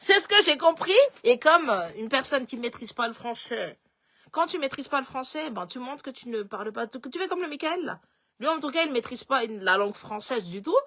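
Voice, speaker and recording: With a slight Malagasy accent, a woman projects a raised, high-pitched voice at a fairly quick pace, her tone animated, bright and sharp. Her pitch swings very widely and her loudness shifts a lot. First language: Malagasy (speaking French). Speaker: political commentator. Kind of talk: political commentary live stream.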